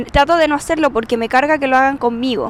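Her high-pitched voice, in a Chilean accent, carries lively intonation as this woman speaks. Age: 30s. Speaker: podcaster. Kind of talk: personal monologue. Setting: outdoors on street. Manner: loud at times.

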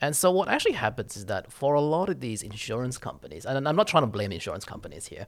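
A man with an Australian accent talks at a very fast pace, his medium-pitched voice swinging very widely and carrying vocal fry. The recording is very clean, with a silent background. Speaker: insurance executive, actuary. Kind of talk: interview. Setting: corporate office.

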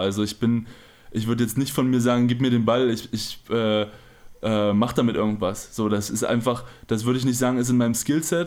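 A man speaks in a plain, everyday voice at a medium pitch. His pace is moderate and his intonation fairly even. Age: 20s. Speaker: professional basketball player. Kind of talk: casual interview.

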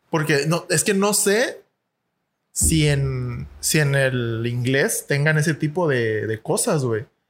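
With a Mexican accent, this somewhat breathy voice moves at a very slow pace, its loudness very even and its intonation lively. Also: man, fairly high pitch for a man. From Mexico. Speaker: podcast co-host. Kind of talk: casual chat. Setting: studio.

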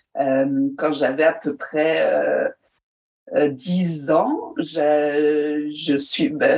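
A woman with a very deep, low pitch and fairly even intonation. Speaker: storyteller and actress. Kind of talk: interview.

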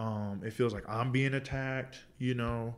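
At a moderate pace, a man talks with a medium pitch. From Indianapolis, West Side. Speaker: church member. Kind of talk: panel discussion.

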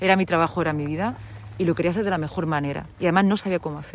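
A woman's fairly low voice with ordinary pitch variation, very fast pace. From Murcia region, Spain (Lorca). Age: 40s. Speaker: radio presenter. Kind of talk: interview.

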